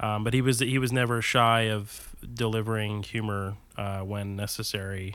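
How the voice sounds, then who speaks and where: Hardly any pauses break this monotone, flat delivery. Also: man, fairly low pitch for a man, moderate pace. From New Jersey. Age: 30s. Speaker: stand-up comedian. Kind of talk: casual chat.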